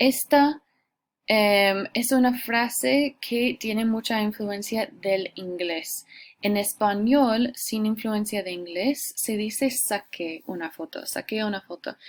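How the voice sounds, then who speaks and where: The recording is very clean with a silent background. A woman with an English accent and a fairly high pitch speaks at a very slow pace with ordinary pitch variation. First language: English (speaking Spanish). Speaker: Spanish teacher. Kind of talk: lecture. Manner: hesitant, many fillers.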